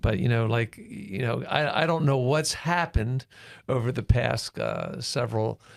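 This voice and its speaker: A man speaks with vocal fry. His pitch sits in the medium range. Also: ordinary pitch variation, moderate pace. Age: 60s. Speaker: pastor. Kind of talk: casual chat. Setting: studio. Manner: halting.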